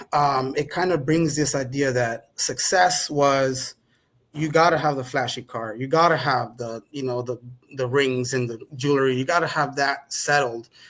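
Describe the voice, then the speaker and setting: A man with a Spanish accent, fairly high pitch and fairly even intonation, on a very clean recording with a silent background. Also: moderate pace. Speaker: podcast guest. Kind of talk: conversational interview.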